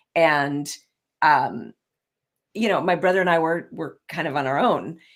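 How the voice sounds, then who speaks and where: On a very clean recording with a silent background, a woman with a plain, everyday voice talks at a fairly slow pace, with a fairly low pitch and ordinary pitch variation. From US, moved often (Ohio, New York City). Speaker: leadership and executive coach. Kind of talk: casual interview chat.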